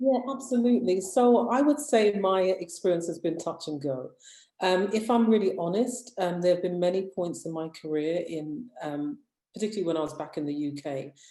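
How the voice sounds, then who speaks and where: A dark, mellow voice with a British accent comes at a moderate pace. Its pitch swings very widely. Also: woman, medium pitch for a woman. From United Kingdom. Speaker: media founder, former broadcast journalist. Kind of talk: panel discussion.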